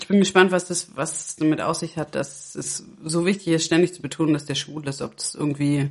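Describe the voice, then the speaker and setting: A woman's very deep, low voice, fairly quick and fairly even in intonation, with big swings in loudness. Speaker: podcast co-host. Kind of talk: casual chat.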